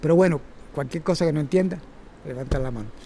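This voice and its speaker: A man's fairly high voice moves with ordinary pitch variation. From Cuba. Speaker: circus teacher and former gymnast. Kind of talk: talk to a workshop audience. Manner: halting, with repetitions and fillers.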